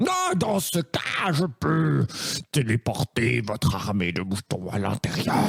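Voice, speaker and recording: A man growls out a put-on character voice at a medium pitch. His pace is fairly slow. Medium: audio drama.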